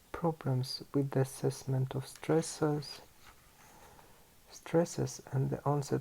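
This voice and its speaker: Somewhat breathy and dark, mellow in tone, a man's fairly high-pitched voice moves at a very slow pace. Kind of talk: ASMR book reading.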